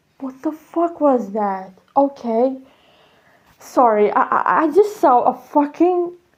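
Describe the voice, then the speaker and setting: Very wide pitch swings mark this voice. It moves at a very slow pace. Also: woman, high pitch for a woman. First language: Serbian. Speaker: vlogger. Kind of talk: casual monologue. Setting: outdoors on apartment balcony. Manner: halting, many fillers.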